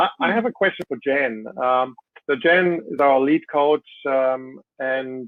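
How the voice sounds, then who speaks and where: At a fairly slow pace, a man with a German accent speaks at a fairly high pitch with ordinary pitch variation. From Germany. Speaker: CEO and panel moderator. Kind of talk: panel moderation. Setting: webinar video call.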